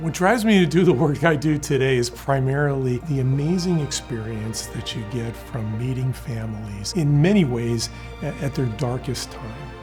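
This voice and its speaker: Moderate-paced speech with hardly any pauses over music in the background. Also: man. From Cuba. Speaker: trial lawyer, mesothelioma attorney. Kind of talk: corporate interview answer about legal services.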